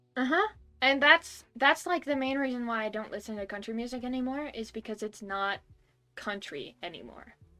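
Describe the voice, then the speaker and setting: Over background music, a woman with an American accent speaks at a moderate pace and a high pitch, with lively intonation and big swings in loudness. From US Northeast. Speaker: music podcast host. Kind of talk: casual chat.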